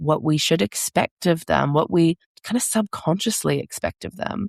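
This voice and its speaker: Speaking at a moderate pace in an ordinary speaking voice, a woman uses a fairly low pitch with ordinary pitch variation, the sound dry and close with no echo and the background quiet. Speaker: parent coach and podcast host. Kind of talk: podcast monologue.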